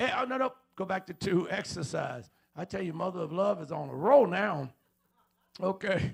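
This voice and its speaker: An animated speaker with an American accent uses lively intonation at a moderate pace, broken by long, frequent pauses. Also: man, high pitch for a man. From Chicago, US Midwest. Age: 70s. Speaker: pastor. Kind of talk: sermon. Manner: animated, joking.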